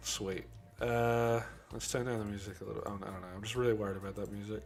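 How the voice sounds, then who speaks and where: Quiet music plays in the background as a man speaks at a fairly low pitch with ordinary pitch variation. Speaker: VFX artist streaming his work. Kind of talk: casual live stream chat.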